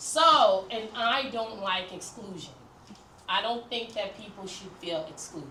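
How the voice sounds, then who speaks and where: Against noticeable background noise and audible room echo, a woman speaks fairly slowly at a medium pitch, her intonation lively and her loudness swinging widely. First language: French. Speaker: counselor leading group session. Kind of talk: group class instruction.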